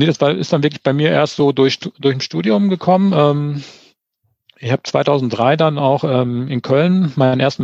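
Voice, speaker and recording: A man with a normal speaking voice talks at a fairly high pitch with ordinary pitch variation. The sound is dry and close with no echo, and his loudness stays very even. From Hesse, Germany (Eschborn near Frankfurt). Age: 40s. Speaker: amateur triathlete. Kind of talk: casual interview.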